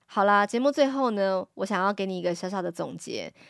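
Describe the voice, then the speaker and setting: At a fairly quick pace, a woman speaks at a medium pitch on a very clean recording with a silent background. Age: 40s. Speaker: Japanese teacher and podcast host. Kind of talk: solo podcast lecture.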